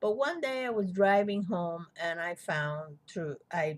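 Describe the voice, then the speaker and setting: The speaker is a woman with lively intonation. Her voice is somewhat breathy. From Cuba. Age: 70s. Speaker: spiritual vlogger. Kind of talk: personal testimony. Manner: reflective, conversational.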